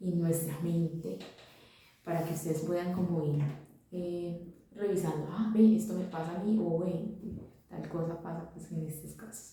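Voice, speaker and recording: A woman speaks at a fairly slow pace with a fairly low pitch and fairly even intonation, her loudness swinging widely, over noticeable background noise with audible room echo. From Colombia, Santa Fe de Antioquia. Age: 20s. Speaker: vlogger. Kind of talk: personal monologue. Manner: halting, many fillers.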